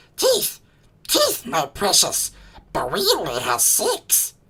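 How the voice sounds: A put-on character voice, raspy and hissing, at a fairly slow pace.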